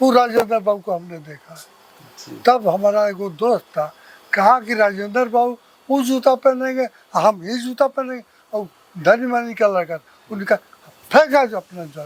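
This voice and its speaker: In a dry, close recording with no echo, a man with a high pitch and ordinary pitch variation speaks with big swings in loudness. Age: 80s+. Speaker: retired engineer and social worker. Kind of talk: interview answer.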